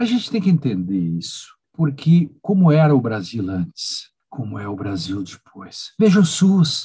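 With a dark, mellow tone, a man's fairly high, somewhat breathy voice makes very wide pitch swings and big swings in loudness, moving at a fairly slow pace with hardly any pauses. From Rio Grande do Sul, Brazil. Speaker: law professor. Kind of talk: interview. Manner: animated.

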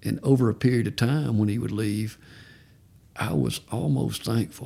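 Using vocal fry and very wide pitch swings, a man with a Southern US accent speaks at a moderate pace. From Georgia. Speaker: parent of recovering addict. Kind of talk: testimony.

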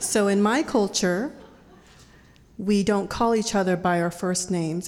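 A woman talks in an Idaho accent at a moderate pace with ordinary pitch variation. The recording is very clean with a silent background. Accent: American (Idaho). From Boise, Idaho (born in Laos). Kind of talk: live storytelling. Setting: stage with audience.

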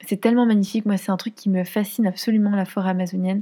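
A woman's dark, mellow tone with monotone, flat intonation. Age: 20s. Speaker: podcast host. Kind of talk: personal storytelling.

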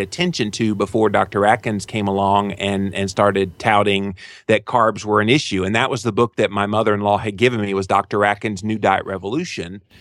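A normal speaking voice from a man, fairly low-pitched with fairly even intonation, fairly quick with hardly any pauses, on a very clean recording with a silent background. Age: 40s. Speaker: health author and podcaster. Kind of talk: interview.

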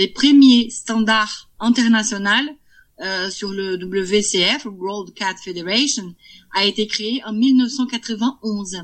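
A woman with a Brazilian accent talks very slowly in a fairly high voice, her pitch varying in an ordinary way. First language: Portuguese (speaking French). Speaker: cat breeder. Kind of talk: interview. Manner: halting.

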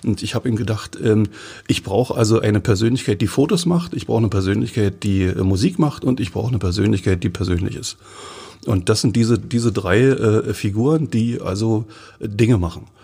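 With a somewhat breathy, fairly low voice, a man talks at a fairly quick pace with ordinary pitch variation. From Forst, Lusatia, eastern Germany. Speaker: magazine editor-in-chief. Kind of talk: casual interview.

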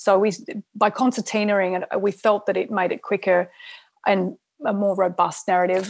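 A woman's medium-pitched voice in an Australian accent, at a moderate pace with fairly even intonation. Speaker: film director. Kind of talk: interview.

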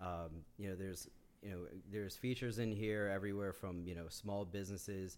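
A man with a fairly low pitch, monotone, flat intonation and a fairly quick pace, amid audible room echo. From Yonkers, New York. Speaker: community organizer. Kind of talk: casual chat.

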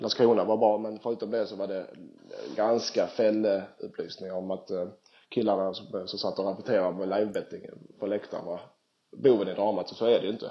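This is a man with a fairly low pitch. He keeps a moderate pace. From southern Sweden (Skåne). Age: 30s. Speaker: professional footballer. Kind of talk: casual interview. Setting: Skype call.

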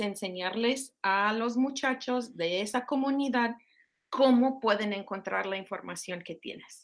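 A woman talks with ordinary pitch variation, captured on a very clean recording with a silent background. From Minnesota, US. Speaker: professor. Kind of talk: interview. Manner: halting.

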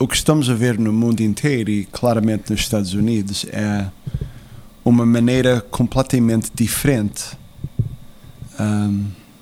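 A man talks at a fairly slow pace with a medium pitch and fairly even intonation. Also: long, frequent pauses. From USA, Portuguese immigrant family. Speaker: former political adviser. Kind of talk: interview. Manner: halting.

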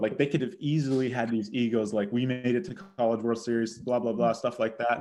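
A man with an American accent has a normal speaking voice at a medium pitch. He talks at a fairly quick pace with fairly even intonation. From Boston, Massachusetts. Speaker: college baseball outfielder. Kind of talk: interview.

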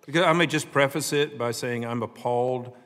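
A man talks with a Southern US accent. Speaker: congressman. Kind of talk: congressional hearing questioning.

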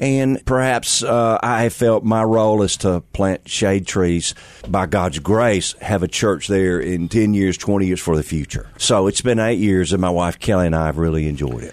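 At a moderate pace with hardly any pauses, a man talks in a Southern US accent, his fairly low voice showing ordinary pitch variation. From Mississippi, US South. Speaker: pastor. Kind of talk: casual interview chat. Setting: studio.

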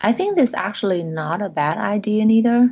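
A woman speaks at a fairly slow pace. Her voice is fairly high and somewhat breathy. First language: not English. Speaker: art professor. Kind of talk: casual chat.

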